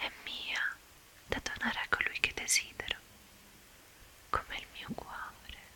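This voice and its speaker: Whispering at a very slow pace, a woman is heard through noticeable background noise. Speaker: ASMR content creator. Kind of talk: ASMR whispered talk to camera. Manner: whispered, soft-spoken.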